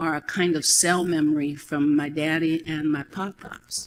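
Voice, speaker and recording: This woman's pitch is very deep and low, with fairly even intonation. She keeps a moderate pace. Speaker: storyteller. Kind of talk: personal storytelling to an audience.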